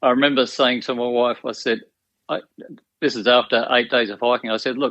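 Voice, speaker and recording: A man talks in an Australian accent, his intonation fairly even throughout. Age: 60s. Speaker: retired teacher and hiker. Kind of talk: podcast interview.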